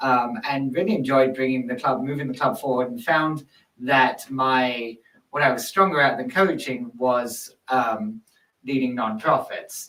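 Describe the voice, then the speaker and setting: A man's voice sits at medium pitch with a bright, sharp tone. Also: ordinary pitch variation. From London, England. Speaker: nonprofit executive. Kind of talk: casual interview. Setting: studio.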